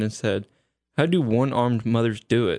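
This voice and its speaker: Over a quiet background, a man with a plain, everyday voice talks at a medium pitch and a moderate pace. The sound is dry and close, with no echo. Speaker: guest, recurring. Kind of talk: casual chat, dad-joke contest.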